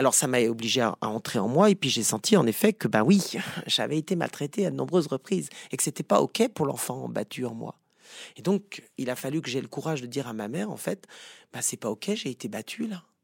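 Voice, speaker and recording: A man with vocal fry and a medium pitch talks at a fairly quick pace with very wide pitch swings, in a very clean recording with a silent background and dry, close sound with no echo. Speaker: psychotherapist. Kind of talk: interview.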